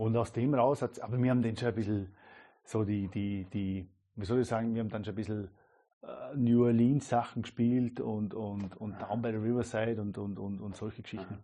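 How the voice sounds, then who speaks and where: Fairly quickly and with fairly even intonation, a man talks in a fairly low voice. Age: 30s. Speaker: jazz and entertainment musician. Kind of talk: interview conversation. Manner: halting, many repetitions.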